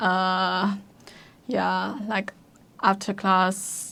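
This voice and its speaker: In a Chinese accent, a woman talks at a very slow pace and medium pitch. The recording is very clean, with a silent background. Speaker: university student. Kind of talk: casual chat. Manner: halting.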